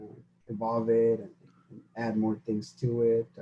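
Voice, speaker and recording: His voice is somewhat breathy, with a dark, mellow tone. The man talks at a fairly quick pace. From Mexico (Zacatecas), then Dallas from age six. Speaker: podcast co-host. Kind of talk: casual chat. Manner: fast when nervous.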